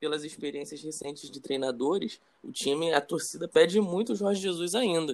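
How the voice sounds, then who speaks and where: Using an ordinary speaking voice, a man talks at a moderate pace with a fairly high pitch, ordinary pitch variation and big swings in loudness. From Brazil. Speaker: football podcast host, club fan. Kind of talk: casual interview chat.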